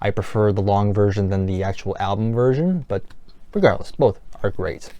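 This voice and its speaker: A man speaks at a fairly low pitch in a dark, mellow tone, with ordinary pitch variation. His pace is moderate over a quiet background. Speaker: music collector youtuber. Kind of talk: casual review monologue.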